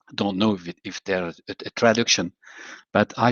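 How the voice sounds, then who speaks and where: A man's fairly low voice with a French accent. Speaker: water agency director. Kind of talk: formal speech. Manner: halting; slow.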